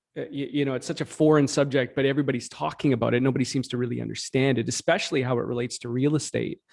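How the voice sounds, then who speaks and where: A man's fairly high voice on a very clean recording with a silent background. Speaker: real estate brokerage co-founder. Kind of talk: interview. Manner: halting, many fillers.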